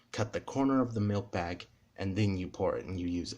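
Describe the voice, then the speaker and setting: Somewhat breathy, a man speaks at a fairly low pitch with fairly even intonation. The recording is very clean, with a silent background. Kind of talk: casual talk to camera.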